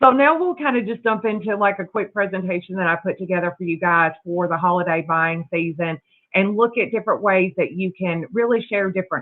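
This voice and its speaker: Speaking at a fairly quick pace, a woman with a Southern US accent keeps a medium pitch and ordinary pitch variation. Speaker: sales executive. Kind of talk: sales presentation. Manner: fast.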